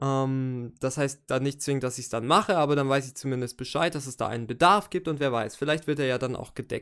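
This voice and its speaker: Very clean recording, silent background, a man with a plain, everyday voice at medium pitch, fairly quick pace, hardly any pauses and ordinary pitch variation. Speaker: podcast host and rapper analysing own album. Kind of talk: solo podcast monologue. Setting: home recording with microphone. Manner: casual with many fillers.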